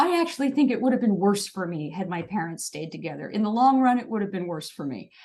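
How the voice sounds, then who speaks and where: Very fast and somewhat breathy, a woman talks at a medium pitch with big swings in loudness and very wide pitch swings. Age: 60s. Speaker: dance fitness instructor and speaker. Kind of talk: podcast interview. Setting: podcast interview. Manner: animated.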